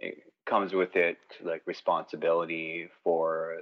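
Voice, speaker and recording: Speaking with a Canadian accent, a man talks. His pace is fairly slow. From British Columbia mid-coast, Canada (First Nation). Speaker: lawyer. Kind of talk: interview. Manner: halting, many fillers.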